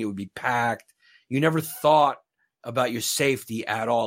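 Heard in a very clean recording with a silent background, the voice carries a New York accent. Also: man. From Brooklyn, New York. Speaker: stand-up comedian. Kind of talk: casual interview chat. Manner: joking, self-deprecating.

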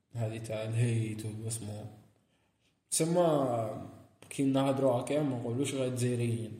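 Somewhat breathy speech with fairly even intonation, long, frequent pauses and audible room echo. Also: man, medium pitch for a man, moderate pace. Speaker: podcast co-host. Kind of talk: casual chat.

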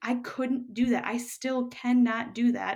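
A woman with an American accent speaks at a very slow pace and a high pitch. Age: 30s. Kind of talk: casual interview.

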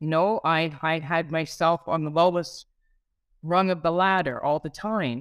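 A normal speaking voice from a woman, fairly low in pitch with fairly even intonation, at a fairly slow pace, in a dry, close sound with no echo. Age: 50s. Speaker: former mental health client. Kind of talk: testimony.

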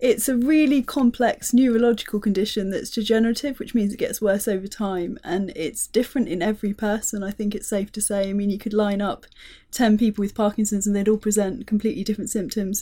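Talking at a very fast pace with hardly any pauses, a woman with a fairly high pitch has a dark, mellow, somewhat breathy tone and fairly even intonation. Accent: British. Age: 30s. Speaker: charity tech strategist living with Parkinson's. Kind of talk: casual chat. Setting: studio.

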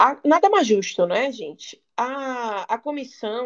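A woman's high voice swings very widely in pitch. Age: 20s. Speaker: lawyer. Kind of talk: podcast interview.

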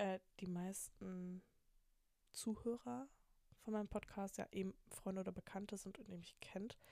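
At a fairly slow pace, a woman with medium pitch and ordinary pitch variation speaks in a dark, mellow tone. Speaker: podcast host, university student. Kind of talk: casual solo monologue. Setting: at home in bed at night, window open to street. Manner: rambling with many fillers.

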